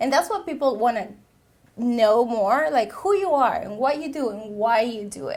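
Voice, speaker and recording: A woman speaks in a Peruvian accent at a high pitch. Her pitch swings very widely. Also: moderate pace. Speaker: social media consultant, veteran. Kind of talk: interview.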